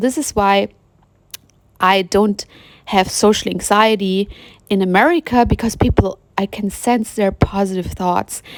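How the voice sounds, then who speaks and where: This woman has a non-native accent and a medium pitch, with ordinary pitch variation. She talks at a moderate pace in a dry, close sound with no echo. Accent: noticeable non-native accent in English. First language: German. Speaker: spiritual vlogger. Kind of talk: personal monologue. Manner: halting, with fillers and restarts.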